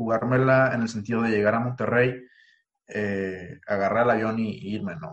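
At a moderate pace and medium pitch, a man talks in a plain, everyday voice with fairly even intonation. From Mexico, Ensenada, Baja California. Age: 20s. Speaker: entrepreneur. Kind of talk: casual interview.

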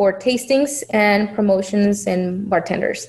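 Her pitch varying in an ordinary way, a woman talks with a Spanish accent. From Mexico (Chihuahua). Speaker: business owner. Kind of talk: interview.

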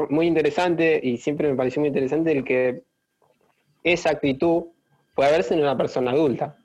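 A man with a normal speaking voice talks fairly quickly at a fairly high pitch, with fairly even intonation and very even loudness. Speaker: podcast host. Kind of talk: interview conversation.

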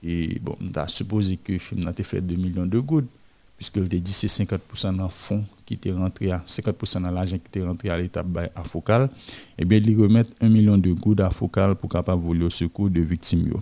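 A man with a very deep, low pitch and a dark, mellow tone speaks at a very fast pace. His intonation is fairly even, on a very clean recording with a silent background. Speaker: culture reporter. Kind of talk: radio culture news segment. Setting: studio.

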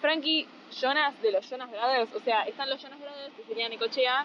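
There is noticeable background noise behind a woman as she speaks. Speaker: podcast co-host. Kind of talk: casual chat. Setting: on the beach, phone recorder.

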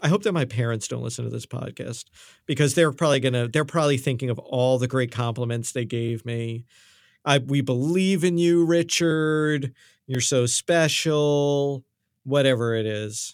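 A man with a New York accent speaks at a moderate pace, with medium pitch and ordinary pitch variation. The recording is very clean and the background silent. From New York City. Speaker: musician and studio owner. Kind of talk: casual chat.

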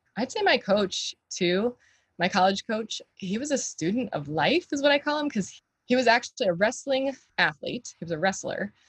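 A woman with an American accent talks at a moderate pace, her pitch swinging very widely, her voice somewhat breathy and the sound dry and close with no echo. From US South, Florida Gulf Coast (Bradenton). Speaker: health coach. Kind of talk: interview conversation.

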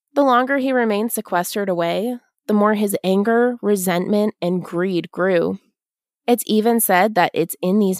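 Ordinary pitch variation comes through on a very clean recording with a silent background and a dry, close sound with no echo. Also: woman. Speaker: podcast host. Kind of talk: ghost story telling, spooky folklore narration. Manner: hushed, slow, dramatic and theatrical; wry, sarcastic, laughs at her own asides.

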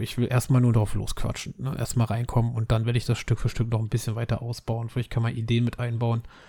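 A man's medium-pitched voice sounds somewhat breathy, with a dark, mellow tone. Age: 30s. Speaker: podcaster. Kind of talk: casual monologue.

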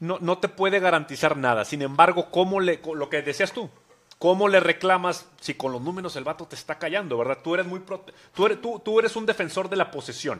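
A man with a high pitch talks at a fairly quick pace, using ordinary pitch variation and big swings in loudness. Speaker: football podcast host. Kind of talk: casual chat. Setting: studio.

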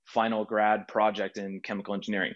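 A plain, everyday voice from a man at a medium pitch and a fairly quick pace, over a quiet background. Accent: American. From Texas, Houston. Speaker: content creator and engineer. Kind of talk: interview.

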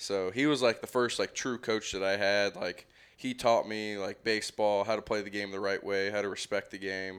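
With an American accent, a man talks at a moderate pace in a normal speaking voice, fairly low in pitch, on a very clean recording with a silent background. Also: fairly even intonation. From US South, Marietta, Georgia. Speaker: professional baseball pitcher. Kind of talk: interview.

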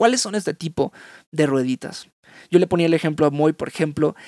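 Recorded in a dry, close sound with no echo, a man speaks with ordinary pitch variation. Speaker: podcast host. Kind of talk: casual reflective monologue. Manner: halting.

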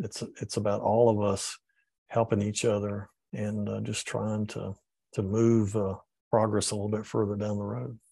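A man's fairly low voice in a Southern US accent, dark and mellow in tone, with ordinary pitch variation, a moderate pace and a quiet background. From Georgia and Tennessee, US South. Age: old. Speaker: environmental educator, former public official. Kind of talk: interview. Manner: halting, frequent fillers.

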